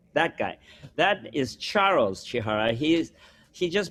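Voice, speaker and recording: Fairly high-pitched man with very wide pitch swings. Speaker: composer. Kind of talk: interview, casual recollection. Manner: halting.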